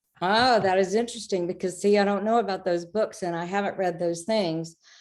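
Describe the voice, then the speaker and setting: In an ordinary speaking voice, a woman speaks at a medium pitch with ordinary pitch variation against a quiet background. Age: 60s. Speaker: author and spiritual guide. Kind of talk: interview.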